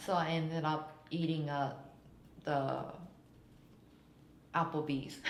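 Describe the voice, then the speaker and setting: Very slowly and with long, frequent pauses, a woman with a Japanese accent speaks in a very deep, low voice and a flat, monotone delivery. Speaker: stand-up comedian. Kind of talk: interview answer.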